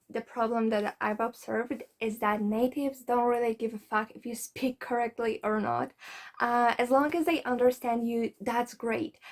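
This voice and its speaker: Recorded very cleanly against a silent background, a woman with a Polish accent talks at a moderate pace, her fairly high pitch held in fairly even intonation. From Poland. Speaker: language learning vlogger. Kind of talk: advice vlog. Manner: casual, conversational.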